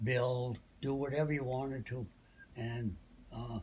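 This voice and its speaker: Somewhat breathy, a man talks at a fairly slow pace. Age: 80s+. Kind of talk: interview answer. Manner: slow, hesitant. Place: home room. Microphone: phone near.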